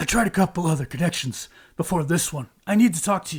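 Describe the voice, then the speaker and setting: In a put-on character voice, a soft-spoken man talks very fast at a high pitch. His voice is raspy, with big swings in loudness. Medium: actual play. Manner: soft-spoken, guarded.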